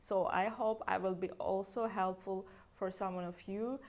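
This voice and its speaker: A woman speaks fairly slowly with a Russian accent. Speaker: hair stylist. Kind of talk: tutorial; casual chat. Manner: unscripted, hesitant.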